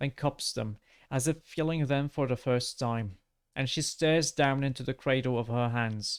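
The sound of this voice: Against a quiet background, this is an unforced reading voice with ordinary pitch variation.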